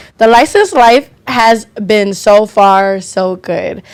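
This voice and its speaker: A woman speaks loudly at a very slow pace. Her pitch is fairly high, with ordinary variation. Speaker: podcast co-host and nail tech. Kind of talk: casual chat.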